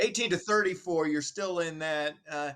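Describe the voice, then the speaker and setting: A man has a plain, everyday voice with a fairly high pitch. He talks at a moderate pace with lively intonation. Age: 50s. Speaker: local TV talk show co-host. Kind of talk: casual chat.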